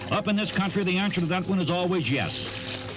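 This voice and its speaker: A man speaks at a high pitch and a fairly quick pace. Music plays in the background. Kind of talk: vintage outdoor documentary narration.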